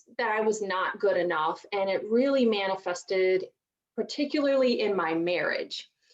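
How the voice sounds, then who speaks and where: With a Southern US accent, a woman talks at a medium pitch and a moderate pace. Her pitch varies in an ordinary way. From US South, rural mountains of Virginia. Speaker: divorce strategist. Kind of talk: interview.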